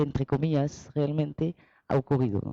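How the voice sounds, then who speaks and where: A woman's voice, dark and mellow in tone, recorded dry and close with no echo. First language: French (speaking Spanish). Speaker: researcher and translator. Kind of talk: presentation. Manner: halting.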